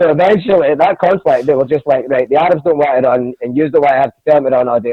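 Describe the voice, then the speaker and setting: A man with a Glasgow accent at a very fast pace, fairly high in pitch, with ordinary pitch variation and hardly any pauses. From Scotland, Glasgow (Castlemilk). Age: 20s. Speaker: comedian. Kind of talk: casual chat. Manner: animated.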